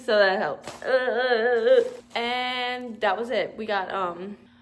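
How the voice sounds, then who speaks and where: Loud and animated, a woman with a fairly high pitch speaks over noticeable background noise and audible room echo. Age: 20s. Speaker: vlogger. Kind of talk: casual vlog.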